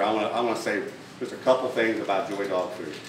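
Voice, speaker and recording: There is noticeable background noise and audible room echo. Through it, a man talks with an American accent. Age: 60s. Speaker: dog food company owner. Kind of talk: speech. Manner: halting, many fillers and repetitions.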